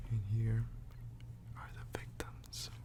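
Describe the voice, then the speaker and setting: Someone soft-spoken talks at a very slow pace over noticeable background noise. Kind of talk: ASMR soft-spoken book reading. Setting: close microphone recording, page-turning sounds. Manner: soft-spoken, slow.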